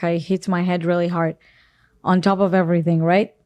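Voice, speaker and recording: A woman with an Israeli accent, fairly low in pitch, at a very fast pace over a quiet background. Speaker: podcast guest, actress and makeup artist. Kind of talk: casual interview storytelling. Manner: animated.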